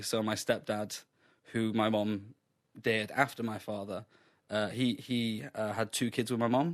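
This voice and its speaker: A man talks in a fairly low pitch with monotone, flat intonation. The background is quiet. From Sheffield, England. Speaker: comedian. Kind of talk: radio interview answer.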